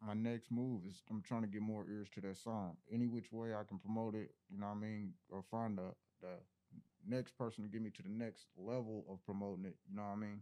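Speaking at a fairly quick pace, the man has a fairly low pitch and a dark, mellow tone. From Indianapolis, Indiana. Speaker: rapper. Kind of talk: casual chat.

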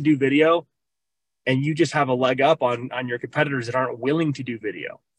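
A man with an American accent talks at a fairly quick pace and fairly high pitch, his intonation fairly even. It is an ordinary speaking voice, dry and close with no echo. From Minnesota. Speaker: loan officer. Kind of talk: casual chat.

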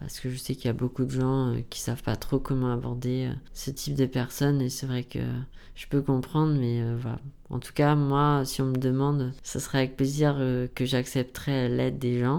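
In a dark, mellow tone, a man speaks at medium pitch and a moderate pace with monotone, flat intonation. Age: 20s. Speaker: blind university student. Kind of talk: interview.

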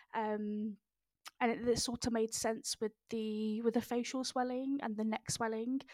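Dry and close with no echo, a woman's fairly high voice comes out monotone and flat at a fairly slow pace. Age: 20s. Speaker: cancer survivor and patient advocate. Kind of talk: interview testimony. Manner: halting, many fillers.

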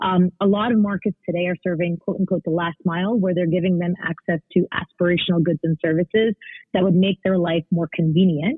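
Music in the background behind a woman with an American accent, fairly low in pitch with fairly even intonation. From New York, US, in a conservative Indian family. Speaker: social enterprise founder and CEO. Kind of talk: interview. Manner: halting, many repeated words.

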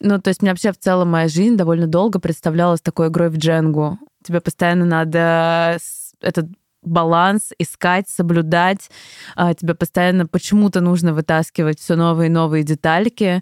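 Recorded dry and close with no echo against a silent background, a woman talks at a fairly low pitch in a flat monotone, her loudness very even throughout. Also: moderate pace. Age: 20s. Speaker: creative producer. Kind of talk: interview testimony.

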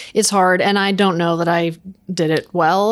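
This woman has an unremarkable speaking voice at a medium pitch, talking at a fairly quick pace with fairly even intonation on a very clean recording with a silent background. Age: 40s. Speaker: accounting firm operations director. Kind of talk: interview.

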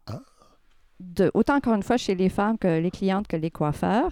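A woman with a dark, mellow tone and lively intonation speaks at a moderate pace, the sound dry and close with no echo. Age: 50s. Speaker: sociology professor and hairdresser. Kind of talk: radio interview.

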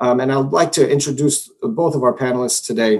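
This man talks at a fairly quick pace. He has a normal speaking voice at a medium pitch. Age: 40s. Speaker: moderator of online panel. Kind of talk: moderated panel discussion.

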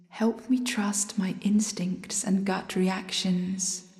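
Noticeable background noise surrounds a woman speaking at a very slow pace. Her pitch is medium. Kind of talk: fervent spoken prayer to the moon, intimate and devotional. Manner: earnest, reverent, pleading, slow and heartfelt.

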